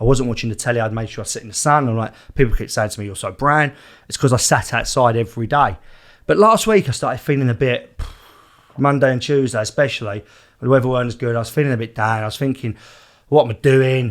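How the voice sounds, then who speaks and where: Speaking very fast with an Essex accent, a man uses a medium pitch and ordinary pitch variation. The recording is very clean, with a silent background. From East London / Essex border, England. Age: 30s. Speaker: podcast host. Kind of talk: casual chat.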